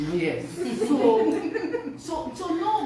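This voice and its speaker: A woman talks with audible room echo and noticeable noise in the background. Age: 60s. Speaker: nurse. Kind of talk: radio interview. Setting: studio.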